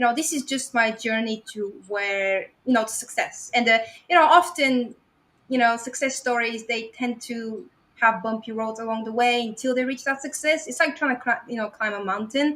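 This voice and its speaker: In a strong Bulgarian accent, a woman speaks at a high pitch and a moderate pace, with a bright, sharp tone and ordinary pitch variation. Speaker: website investor. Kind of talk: podcast interview presentation.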